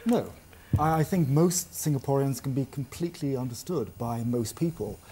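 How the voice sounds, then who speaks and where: A somewhat breathy man's voice with a fairly high pitch. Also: moderate pace. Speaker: language trainer. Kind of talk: interview answer.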